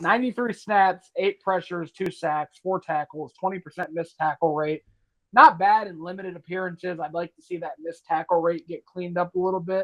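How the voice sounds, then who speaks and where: A man with a high voice speaks at a fairly quick pace, his intonation fairly even but his loudness swinging widely. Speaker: sports podcast co-host. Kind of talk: casual sports discussion. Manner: stumbles over words at times.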